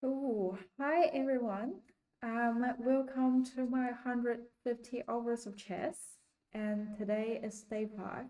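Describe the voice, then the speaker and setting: Speaking very slowly with a non-native accent, a woman has a high-pitched voice with a dark, mellow tone and fairly even intonation. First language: not English. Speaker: chess learner streamer. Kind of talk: casual learning vlog. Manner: hesitant, many ums.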